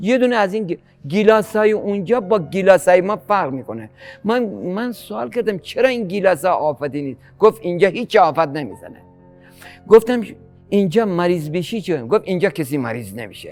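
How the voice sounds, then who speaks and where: A man at a high pitch with very wide pitch swings and a moderate pace, with music in the background. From Gilan, northern Iran. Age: 60s. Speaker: farmer and fisherman. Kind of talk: interview answer.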